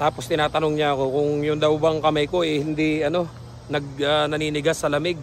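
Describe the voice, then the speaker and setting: Fairly high male voice at a fairly quick pace, over noticeable background noise. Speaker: vlogger, dairy farm worker. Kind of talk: casual vlog talk.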